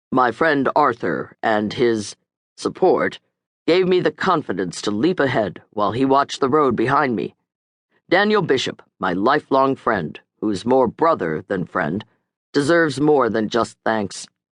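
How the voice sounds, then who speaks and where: A man puts on a husky character voice with very wide pitch swings around a medium pitch. He goes at a moderate pace, and the sound is dry and close with no echo. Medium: read story.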